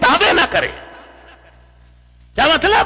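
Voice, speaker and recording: There is noticeable background noise. Over it, a man speaks in a raised, projected voice. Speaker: Islamic preacher (maulana), Tableeghi Jamaat lecturer. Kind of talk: Islamic sermon / religious lecture addressing an audience. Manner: earnest, preaching.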